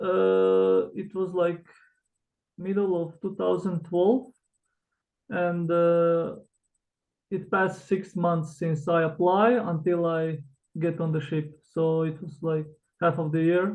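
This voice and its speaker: Speaking with a Croatian accent, a man uses a high pitch. He goes at a very slow pace, with long, frequent pauses. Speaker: author, former cruise ship worker. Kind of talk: interview. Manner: hesitant, with fillers.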